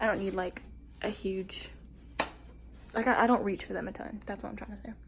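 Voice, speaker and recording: A woman talks at a fairly quick pace, her loudness swinging widely, with noticeable background noise behind her. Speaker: vlogger. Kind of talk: casual vlog.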